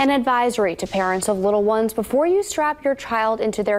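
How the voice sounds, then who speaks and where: A woman with a fairly high pitch talks at a fairly quick pace with lively intonation. Noticeable background noise runs underneath. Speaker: news anchor. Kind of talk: TV news anchoring.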